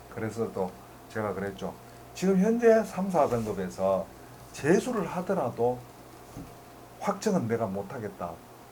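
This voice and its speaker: Speaking fairly slowly with long, frequent pauses, a man swings very widely in pitch against audible room echo. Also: medium pitch for a man. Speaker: math tutor. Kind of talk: lecture.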